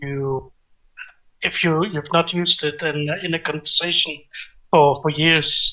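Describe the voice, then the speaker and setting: Fairly slow speech in a Danish accent. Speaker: conversation guest. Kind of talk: casual conversation. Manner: halting, repeats words.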